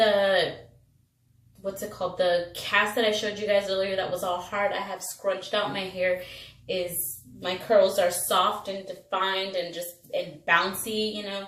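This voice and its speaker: Amid noticeable background noise and audible room echo, a woman speaks at a fairly slow pace with monotone, flat intonation. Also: medium pitch for a woman. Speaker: beauty vlogger. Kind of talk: tutorial. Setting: bathroom at work. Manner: casual, chatty.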